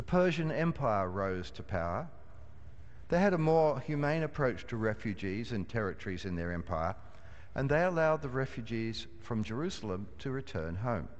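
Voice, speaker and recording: This man talks at a moderate pace. His pitch swings very widely. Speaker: minister. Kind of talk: sermon. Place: church.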